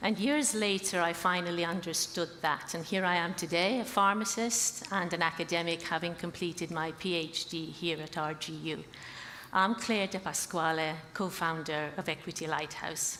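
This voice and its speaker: Over noticeable background noise, a woman with a fairly low pitch speaks with fairly even intonation. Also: moderate pace. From Australia and Malta. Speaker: pharmacist, academic, startup co-founder. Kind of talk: startup pitch.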